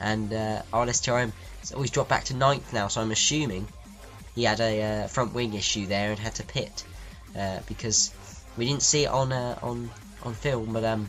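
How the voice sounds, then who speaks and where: With music in the background, a man talks at a fairly low pitch and a fairly quick pace. His intonation stays fairly even. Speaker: race commentator. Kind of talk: sim racing commentary.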